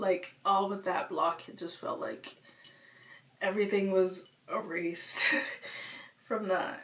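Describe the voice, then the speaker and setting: A woman at a medium pitch speaks fairly slowly in a monotone, flat intonation, with long, frequent pauses and big swings in loudness. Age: 20s. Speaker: vlogger. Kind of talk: personal vlog confession. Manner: casual, rambling speech.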